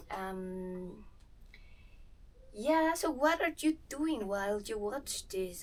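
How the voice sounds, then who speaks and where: In a Spanish accent, a woman speaks at a very slow pace, her pitch fairly high with ordinary variation. Audible room echo surrounds her voice. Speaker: movement vlogger. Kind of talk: casual vlog while exercising. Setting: in-laws' house.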